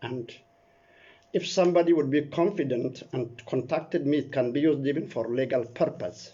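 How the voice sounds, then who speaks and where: This man speaks at a moderate pace, his voice somewhat breathy and fairly high, with ordinary pitch variation. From Ethiopia. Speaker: political commentator. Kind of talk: video statement. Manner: earnest.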